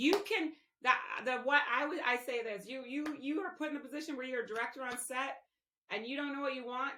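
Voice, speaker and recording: A loud woman's voice, high in pitch, at a fairly quick pace. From Canada. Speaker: television director. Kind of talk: interview. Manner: halting.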